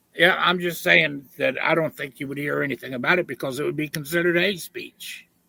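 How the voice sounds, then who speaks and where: Bright and sharp in tone with vocal fry, a man with an American accent speaks fairly quickly with hardly any pauses, in a dry, close sound with no echo. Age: 60s. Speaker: debate opponent. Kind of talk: heated debate. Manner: animated.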